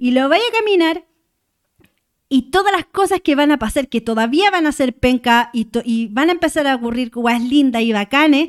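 A woman with a high pitch and lively intonation, at a moderate pace, in a dry, close sound with no echo. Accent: Chilean. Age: 30s. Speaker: muralist. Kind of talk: casual chat.

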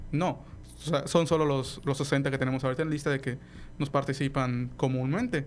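A man's fairly high voice, fairly even in intonation, at a fairly quick pace. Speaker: astronomy club representative, engineering graduate. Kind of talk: radio interview. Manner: halting, many fillers and repetitions.

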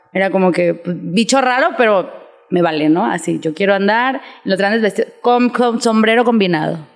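With a normal speaking voice, this woman has a medium pitch and lively intonation. Her pace is moderate. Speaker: fashion designer. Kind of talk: casual chat.

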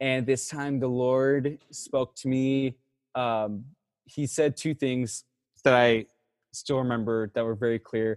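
An unremarkable speaking voice in an American accent carries fairly even intonation, with a dry, close sound, no echo, and a very clean recording over a silent background. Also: man. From Texas. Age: 20s. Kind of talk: testimony.

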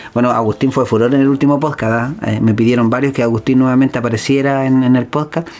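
Over noticeable background noise, a man talks at a very fast pace with hardly any pauses, very even loudness and fairly even intonation. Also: medium pitch for a man. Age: 30s. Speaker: podcast host. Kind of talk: casual chat.

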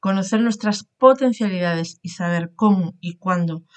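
Here is a woman with an unremarkable speaking voice and a fairly low pitch. She talks at a fairly slow pace with ordinary pitch variation. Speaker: podcast host, coach. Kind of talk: interview; scripted narration.

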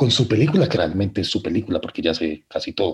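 A man speaks with a somewhat breathy voice. His pitch sits in the middle range. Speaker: film podcast guest. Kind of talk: casual chat.

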